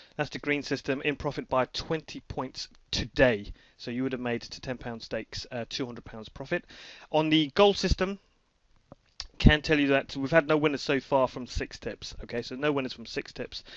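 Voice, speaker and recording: A man with a British accent speaks at a fairly high pitch, with ordinary pitch variation and big swings in loudness. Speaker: horse racing tipster. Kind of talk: screen-recorded promotional update. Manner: fast; hesitant, many fillers.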